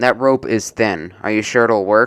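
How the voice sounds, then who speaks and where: Using a put-on character voice, a man speaks at a medium pitch and a moderate pace with fairly even intonation. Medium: read story.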